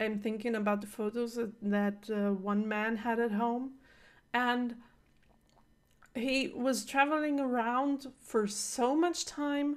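A woman's fairly high voice at a very slow pace, with ordinary pitch variation over a quiet background. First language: not English. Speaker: reaction video host. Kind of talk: casual review talk. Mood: animated, reflective reaction. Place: home room.

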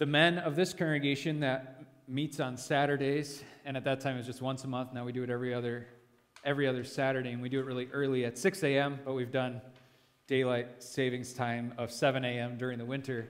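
In a flat monotone, a man speaks at a fairly quick clip. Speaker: pastor leading a devotion. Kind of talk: sermon. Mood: relaxed, lightly humorous. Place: church. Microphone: headset.

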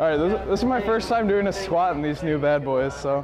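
A man with lively intonation and a fairly high pitch, over clear background noise. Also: fairly quick pace.

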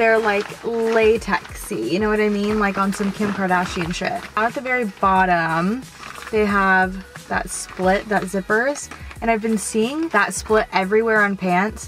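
A woman at a fairly slow pace with ordinary pitch variation, a dry sound with no echo, and clear music in the background. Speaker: fashion vlogger. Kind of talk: casual vlog chat. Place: car. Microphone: phone near.

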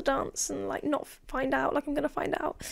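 A woman speaks with an English accent. Her pitch is high. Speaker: podcast co-host. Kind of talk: casual chat.

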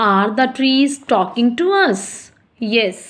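In an Indian accent, a woman speaks at a fairly high pitch with lively intonation. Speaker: school teacher. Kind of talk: online class lesson. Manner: slow, explanatory.

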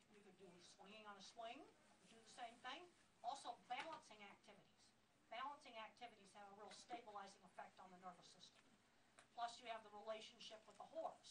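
A woman talks at a very fast pace with ordinary pitch variation. Her loudness swings widely, and there's noticeable background noise. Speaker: speaker. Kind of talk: lecture. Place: shop. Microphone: camera far.

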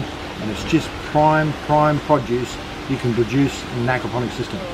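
A man's voice comes through noticeable background noise. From Australia. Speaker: aquaponics farmer and teacher. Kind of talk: guided walking tour. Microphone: phone near.

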